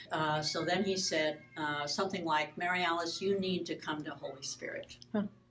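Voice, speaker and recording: A woman with an American accent talks at a moderate pace and a fairly low pitch, her intonation fairly even, with hardly any pauses and noticeable background noise. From Michigan, US Midwest. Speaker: pastor. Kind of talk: interview, personal story. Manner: halting.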